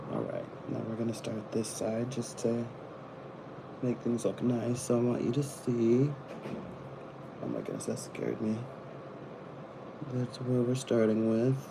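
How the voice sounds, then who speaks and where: A man's medium-pitched, monotone, flat voice at a fairly slow pace, with long, frequent pauses, audible room echo and noticeable background noise. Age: 20s. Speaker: live streamer. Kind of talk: casual chat. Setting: live stream.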